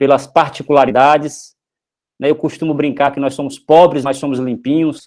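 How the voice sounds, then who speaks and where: A man's fairly high-pitched voice with monotone, flat intonation. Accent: Paraíba. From Brazil, Paraíba. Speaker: professor. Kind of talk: lecture. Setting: live online stream, presentation with slides. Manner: hesitant, with fillers and restarts.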